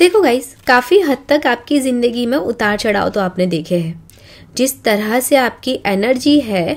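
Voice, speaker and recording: A woman talks in a high pitch at a very slow pace. Her pitch swings very widely. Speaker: wax reader. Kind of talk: spiritual reading chat. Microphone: phone near.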